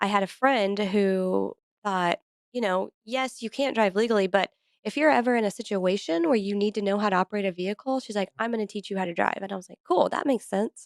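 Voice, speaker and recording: Speaking in a normal speaking voice, a woman talks at a fairly quick pace with ordinary pitch variation. The sound is dry and close, with no echo. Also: medium pitch for a woman, big swings in loudness. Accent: American. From US Midwest (Adrian, Missouri). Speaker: podcast host. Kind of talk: interview.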